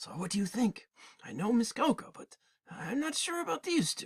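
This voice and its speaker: Putting on a raspy character voice at an extremely high pitch, a man speaks at a moderate pace with very wide pitch swings, the sound dry and close with no echo. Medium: read story.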